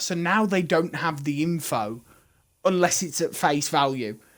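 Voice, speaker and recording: Loud speech at a moderate pace, in a Birmingham accent with lively intonation, fills the clip. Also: man. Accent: loud Birmingham (Brummie). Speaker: esports caster. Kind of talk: live commentary.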